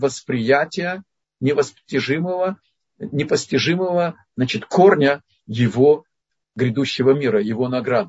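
A man's somewhat breathy voice with lively intonation at a fairly slow pace. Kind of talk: religious lecture with Q&A. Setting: online video lecture. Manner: didactic, explanatory.

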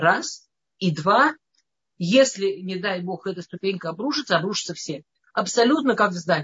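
A woman's medium-pitched voice at a moderate pace, lively in intonation, with long, frequent pauses. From Russia, Moscow. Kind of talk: lecture. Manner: halting.

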